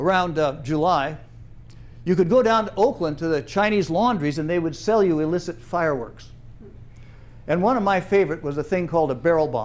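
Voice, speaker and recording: There's audible room echo as a man talks at a fairly quick pace. His voice is high for a man, with lively intonation. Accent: American. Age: 70s. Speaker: storyteller, retired trainer. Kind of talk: personal storytelling performance. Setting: theater stage with audience. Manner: animated.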